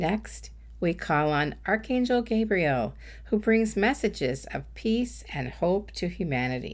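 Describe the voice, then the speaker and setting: Over a silent background in a very clean recording, a woman speaks in a gentle tone at a fairly slow pace. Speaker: intuitive coach and podcast host. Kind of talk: guided meditation. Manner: slow, calm, soothing; gentle, unhurried, with pauses.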